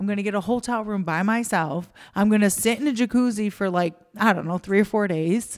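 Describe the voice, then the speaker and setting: At a fairly quick pace, a woman speaks in a plain, everyday voice of medium pitch with ordinary pitch variation. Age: 40s. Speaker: restaurant owner and podcast co-host. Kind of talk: casual chat.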